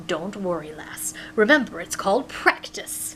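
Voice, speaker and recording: A female-sounding voice puts on a character voice at a middle pitch and moderate pace, with clear background noise. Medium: read story. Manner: hearty, warm.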